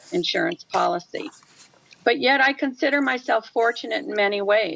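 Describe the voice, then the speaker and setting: A woman's voice at a moderate pace, with very wide pitch swings. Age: 70s. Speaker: widowed retiree testifying. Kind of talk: public testimony read from prepared statement. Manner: formal.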